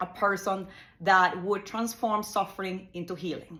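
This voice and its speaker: Bright and sharp in tone, a woman's medium-pitched voice moves at a fairly slow pace. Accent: Spanish. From Ecuador. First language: Spanish. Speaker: psychotherapist. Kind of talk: monologue explanation. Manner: halting, with fillers and repetitions.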